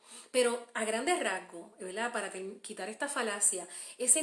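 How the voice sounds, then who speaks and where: In a Puerto Rican accent, a woman talks at a moderate pace with lively intonation, and room echo is audible. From Puerto Rico. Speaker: homeschooling mother and podcaster. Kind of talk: live stream Q&A. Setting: Facebook live stream. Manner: hesitant, many fillers.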